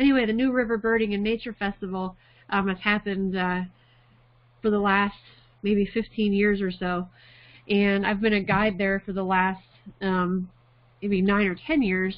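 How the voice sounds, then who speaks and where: In a quiet background, a woman talks at a moderate pace with fairly even intonation and long, frequent pauses. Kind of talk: lecture. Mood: warm, amused. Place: home room. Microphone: webcam.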